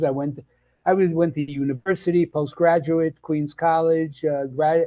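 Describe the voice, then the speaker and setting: Over a quiet background, a man with a Brooklyn accent talks at a moderate pace in a dark, mellow tone, his pitch fairly high. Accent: New York (Brooklyn). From Brooklyn, New York. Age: 80s+. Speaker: health and nutrition coach. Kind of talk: interview conversation. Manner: halting, many fillers and restarts.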